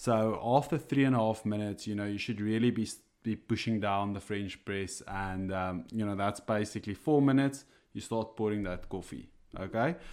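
This man has an Afrikaans South African accent. He speaks at a moderate pace. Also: fairly low pitch for a man, ordinary pitch variation, very clean recording, silent background. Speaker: coffee enthusiast co-host. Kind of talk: casual chat. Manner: hesitant, many fillers.

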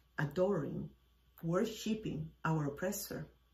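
Very wide pitch swings run through this woman's speech. Noticeable background noise is present. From Cuba. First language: Spanish. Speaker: podcast host. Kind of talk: personal storytelling monologue.

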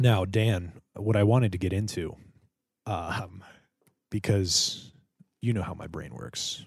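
A somewhat breathy man speaks at a very slow pace with ordinary pitch variation and long, frequent pauses. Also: fairly low pitch for a man, big swings in loudness. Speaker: podcast co-host. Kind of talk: casual banter.

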